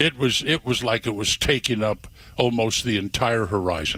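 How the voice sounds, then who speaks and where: The tone is bright and sharp. Intonation is lively, and the pace is moderate. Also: man. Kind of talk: casual storytelling on radio, conversational.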